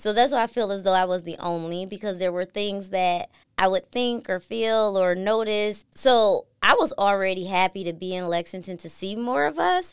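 With an American accent, a woman at medium pitch talks at a moderate pace with hardly any pauses and ordinary pitch variation. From US Midwest, Milwaukee, Wisconsin. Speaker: industrial engineer. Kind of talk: interview.

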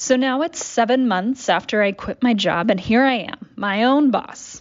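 A woman has a normal speaking voice and talks at a fairly slow pace. Her pitch varies in an ordinary way. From Dallas, Texas. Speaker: small business owner. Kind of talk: audio essay, scripted narration.

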